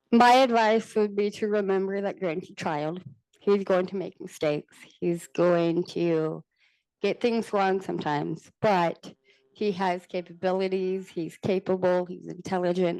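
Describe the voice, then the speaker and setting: Using a normal speaking voice with an American accent, a woman talks at a medium pitch with fairly even intonation. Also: fairly slow pace. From Texas. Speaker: panelist, parent with rare genetic condition. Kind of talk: panel discussion. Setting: conference panel.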